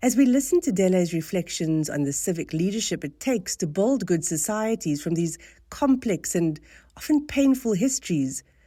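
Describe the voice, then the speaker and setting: A woman with a South African accent speaks at a moderate pace with a dark, mellow tone and very wide pitch swings, on a very clean recording with a silent background. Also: medium pitch for a woman. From South Africa, Cape Town. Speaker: think tank board chair. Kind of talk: formal welcome speech. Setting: salon event with live audience. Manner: formal.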